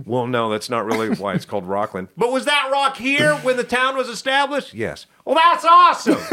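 A man with an American accent at a fairly quick pace, hardly any pauses, and noticeable background noise. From West Texas. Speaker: TV producer and former entertainment anchor. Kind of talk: casual podcast interview. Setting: studio.

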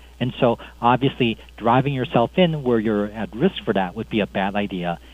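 The speaker talks with an American accent at a fairly quick pace. Pitch varies in an ordinary way. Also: man. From US Midwest, Chicago. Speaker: cardiologist. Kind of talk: interview. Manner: halting, many fillers.

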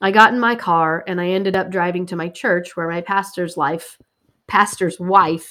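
A woman at a moderate pace, an unremarkable speaking voice pitched fairly low, on a very clean recording with a silent background. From Missouri Ozarks. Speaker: faith ministry representative and podcast host. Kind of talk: scripted personal narration; casual interview.

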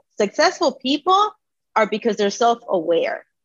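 An animated woman talks at a moderate pace with an American accent. The sound is dry and close, with no echo. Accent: Miami Cuban American English. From Hialeah, Florida (Miami area), Cuban American. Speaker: career coach. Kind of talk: casual chat.

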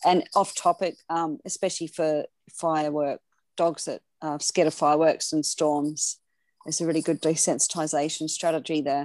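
Recorded dry and close with no echo against a silent background on a very clean recording, a woman with an Australian accent speaks at a moderate pace in a very deep, low pitch with monotone, flat intonation. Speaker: dog separation anxiety trainer, podcast co-host. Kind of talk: casual chat.

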